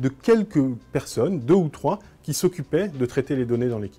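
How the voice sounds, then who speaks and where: A man talks at a fairly quick pace with a fairly high pitch and a dark, mellow tone. His pitch swings very widely. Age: 30s. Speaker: blogger and communications agency director. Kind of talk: conference talk.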